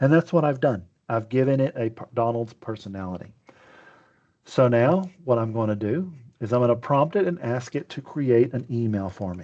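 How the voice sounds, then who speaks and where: A man with a Texas accent, medium-pitched with a dark, mellow tone, lively intonation and a moderate pace. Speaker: webinar presenter. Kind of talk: webinar demo. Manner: casual, conversational.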